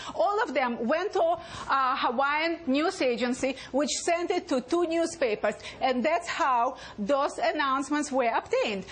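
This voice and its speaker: A woman with a high pitch and lively intonation speaks at a fairly slow pace and very even loudness, with noticeable background noise behind her. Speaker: attorney. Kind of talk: TV news interview answer. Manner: loud, agitated.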